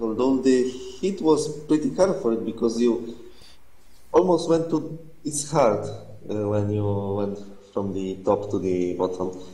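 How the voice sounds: A man's dark, mellow voice at a fairly low pitch, fairly slow and lively in intonation, with strong room echo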